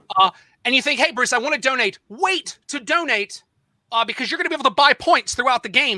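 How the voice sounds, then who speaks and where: A man projects a raised voice at an extremely high pitch, with a dry, close sound and no echo. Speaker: game show host. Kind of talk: live quiz show hosting. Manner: fast; loud.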